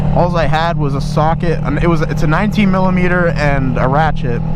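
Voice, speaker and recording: Against noticeable background noise and audible room echo, a man talks at a fairly quick pace with fairly even intonation and a fairly high pitch. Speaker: motovlogger. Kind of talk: casual vlog commentary while riding. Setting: riding a motorcycle outdoors. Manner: loud, yelling at times; halting, many restarts.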